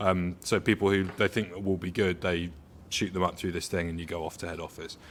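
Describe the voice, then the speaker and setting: A man with a southern English accent speaks at a fairly quick pace in a very deep, low pitch. His intonation is monotone and flat on a very clean recording with a silent background. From southern England, Hampshire-Surrey border. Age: around 30. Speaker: coffee industry professional. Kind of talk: casual interview. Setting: on location at a coffee roastery.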